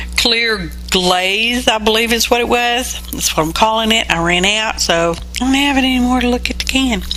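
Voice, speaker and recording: A moderate pace with hardly any pauses, in a Southern US accent, with ordinary pitch variation, audible room echo and noticeable background noise. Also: woman, fairly high pitch for a woman. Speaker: mixed media artist, craft video creator. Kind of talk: craft tutorial voiceover. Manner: casual, chatty.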